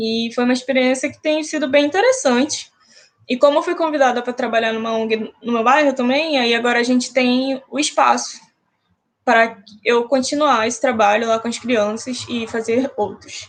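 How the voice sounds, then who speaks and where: With a high pitch and fairly even intonation, a woman speaks at a moderate pace. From Brazil, Manaus, Amazonas. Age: 20s. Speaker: education activist. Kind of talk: live-stream talk.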